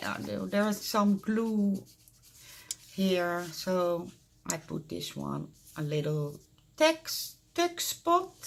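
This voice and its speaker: Speaking at a very slow pace, a woman talks in a Dutch accent. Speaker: crafter. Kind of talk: casual show-and-tell tutorial. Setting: craft room at home. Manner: halting, many fillers.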